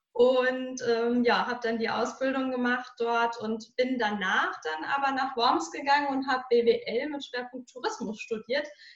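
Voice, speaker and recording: A woman's high voice with ordinary pitch variation, a fairly slow pace and hardly any pauses. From Germany, Hesse (Marburg area). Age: 30s. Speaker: mental coach and speaker. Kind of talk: interview conversation.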